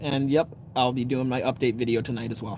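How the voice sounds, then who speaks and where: Speaking at a moderate pace, a man has an American accent. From Canada. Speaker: outdoor live streamer. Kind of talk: casual live stream chat. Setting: outdoors by a campfire at night. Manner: relaxed, casual.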